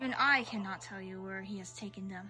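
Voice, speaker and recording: This is a put-on character voice that sounds female. Its pitch sits in the medium range for a woman. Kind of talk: solemn fantasy narration. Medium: game stream. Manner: formal, archaic.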